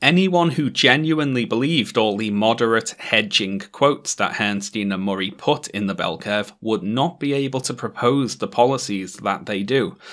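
With a British accent, a man speaks at a moderate pace and medium pitch, his intonation lively, hardly any pauses, in a very clean recording with a silent background. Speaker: YouTuber. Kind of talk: video essay commentary.

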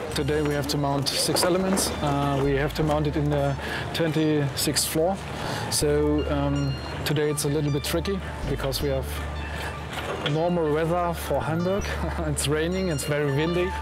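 Clear music plays in the background while a man speaks. He keeps a moderate pace, with long, frequent pauses. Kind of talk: interview answer. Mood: relaxed, amused. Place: street.

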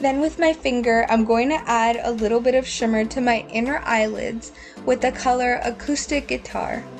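With music in the background, a woman with a high pitch talks at a moderate pace with ordinary pitch variation. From Mexican-American. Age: 20s. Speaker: beauty vlogger. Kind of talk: tutorial. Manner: scripted voiceover.

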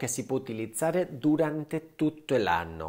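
Against a quiet background, a man with a fairly high pitch talks at a fairly slow pace in a dark, mellow tone. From Spain. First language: Spanish (speaking Italian). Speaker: cosmetic surgeon and skincare YouTuber; skincare YouTuber. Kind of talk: skincare tutorial; casual vlog tutorial. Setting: at home. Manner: animated. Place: home room. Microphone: lapel.

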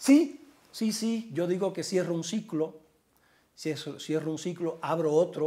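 A man speaks very slowly with a slight Cuban accent. His high-pitched voice has a dark, mellow tone and ordinary pitch variation. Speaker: journalist and author; journalist. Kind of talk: interview. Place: home room. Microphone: lapel.

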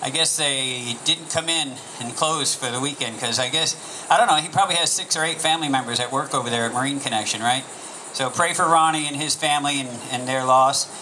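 Against light background noise, a man talks at a very fast pace with ordinary pitch variation. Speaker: pastor giving announcements. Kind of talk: church announcements. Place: stage. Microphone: handheld.

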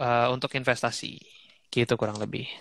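A man at a fairly quick pace with a bright, sharp tone and fairly even intonation, dry sound with no echo, quiet background. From Indonesia, living in Bali. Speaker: guest. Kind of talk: casual interview over Instagram Live. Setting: Instagram live video call. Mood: relaxed, joking. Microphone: headset.

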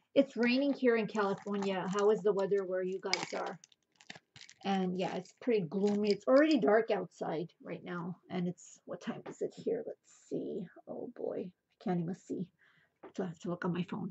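Against light background noise, a woman speaks at a moderate pace in a somewhat breathy voice. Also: ordinary pitch variation, big swings in loudness. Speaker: thrift reseller. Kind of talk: casual haul vlog chat. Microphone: phone near.

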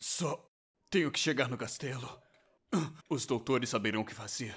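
Using a cartoonish character voice, a man talks at medium pitch and a moderate pace on a very clean recording with a silent background. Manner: angry, defensive, shouting.

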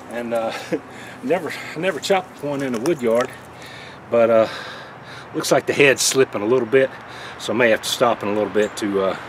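Against noticeable background noise, a man speaks at a fairly quick pace with ordinary pitch variation. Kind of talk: casual tutorial vlog chat. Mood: relaxed, friendly, some laughs. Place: garden.

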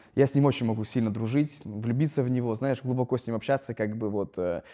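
This man's voice has a dark, mellow tone at a medium pitch, with ordinary pitch variation. He speaks at a fairly quick pace against a quiet background. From Russia, Noyabrsk (Yamal, northern Siberia); Russia. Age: 30s. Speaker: startup founder and influencer; podcast guest. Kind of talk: casual chat. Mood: reflective, candid. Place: hall. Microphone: lapel.

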